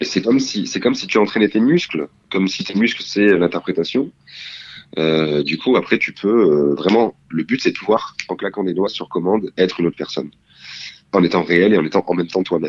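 A man speaks in a plain, everyday voice, fairly low in pitch with ordinary pitch variation, at a fairly quick pace, the sound dry and close with no echo. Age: 20s. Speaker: drama student. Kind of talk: interview.

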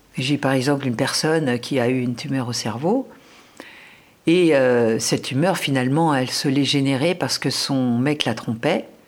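At a moderate pace, a woman speaks in a very deep, low voice with ordinary pitch variation and very even loudness. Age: 60s. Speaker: nutrition author. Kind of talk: interview. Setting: at home.

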